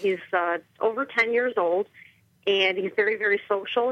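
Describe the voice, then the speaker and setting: A woman with an American accent has a normal speaking voice at a medium pitch. She talks at a moderate pace with ordinary pitch variation. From Chicago suburbs, US Midwest. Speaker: dog trainer and business owner. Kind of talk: radio interview.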